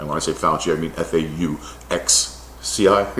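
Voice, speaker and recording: Someone with an American accent speaks with ordinary pitch variation over noticeable background noise and audible room echo. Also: man. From United States. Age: 60s. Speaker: scientist. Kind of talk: opinion monologue. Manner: animated.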